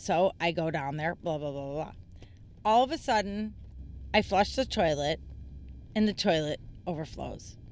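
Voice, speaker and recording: Lively intonation with vocal fry, broken by long, frequent pauses. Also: woman, quiet background. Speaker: writer. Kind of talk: casual chat.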